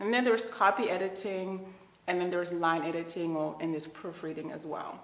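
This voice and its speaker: Words come at a very fast pace with ordinary pitch variation, while audible room echo and noticeable background noise fill the recording. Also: woman, fairly low pitch for a woman. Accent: Zimbabwean. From Zimbabwe. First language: Shona. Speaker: children's book author. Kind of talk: interview.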